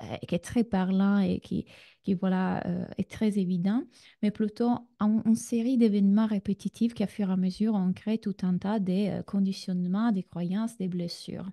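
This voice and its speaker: A woman's somewhat breathy, dark and mellow voice at medium pitch, fairly even in intonation, dry and close with no echo against a quiet background. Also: moderate pace. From Italy. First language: Italian (speaking French). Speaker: relationship coach. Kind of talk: online masterclass. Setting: video call. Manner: hesitant, many fillers.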